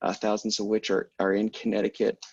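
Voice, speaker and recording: A man speaks at a medium pitch and a fairly quick pace. The sound is dry and close, with no echo. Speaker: policy director at EV charging company, panelist. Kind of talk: webinar presentation. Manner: fast.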